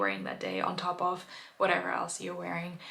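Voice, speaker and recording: A woman with a German accent speaks with audible room echo. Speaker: knitting vlogger. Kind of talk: casual video chat. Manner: hesitant, many fillers.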